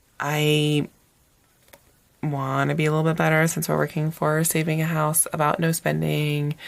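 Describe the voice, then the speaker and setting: In an American accent, the speaker talks at a moderate pace with fairly even intonation amid noticeable background noise. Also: woman. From US, Northern Virginia. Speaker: planner YouTuber and teacher. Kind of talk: casual haul video monologue. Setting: home recording with SLR camera. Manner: hesitant, many fillers and restarts.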